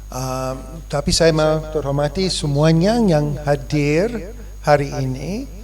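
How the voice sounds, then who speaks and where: A man with an English accent speaks at a very slow pace. Audible room echo and noticeable background noise fill the recording. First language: English (speaking Indonesian). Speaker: foundation chairman. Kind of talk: formal speech. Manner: halting.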